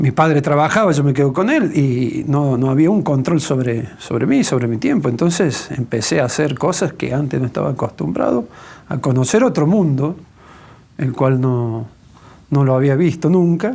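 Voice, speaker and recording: With an Argentine accent, a man speaks at a moderate pace in a fairly high pitch, his tone dark and mellow and his intonation lively. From Argentina, Córdoba. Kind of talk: testimony interview.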